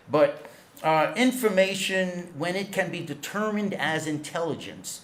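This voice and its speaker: Recorded with audible room echo and noticeable background noise, a man speaks in a New York accent. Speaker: intelligence studies scholar. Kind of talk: conference lecture. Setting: auditorium with audience.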